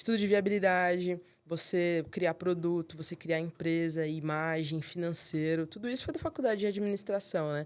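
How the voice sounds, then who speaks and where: In a very clean recording with a silent background, a woman speaks at a moderate pace with hardly any pauses, a fairly low pitch and fairly even intonation. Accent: Rio de Janeiro. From São Paulo. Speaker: accountant, firm co-founder. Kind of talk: interview answer. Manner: casual, relaxed.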